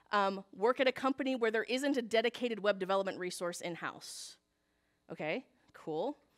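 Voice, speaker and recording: Pitched fairly high, a woman's voice shows ordinary pitch variation in a dry, close recording with no echo. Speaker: conference speaker, web developer. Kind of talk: conference talk. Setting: stage with audience. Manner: fast.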